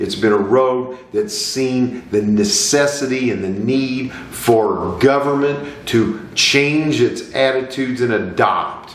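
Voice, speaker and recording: Despite a very slow pace, a man with a medium pitch and ordinary pitch variation leaves hardly any pauses, over noticeable background noise. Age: 50s. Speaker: lawyer sharing personal views. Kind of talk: personal monologue to camera. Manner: earnest, impassioned.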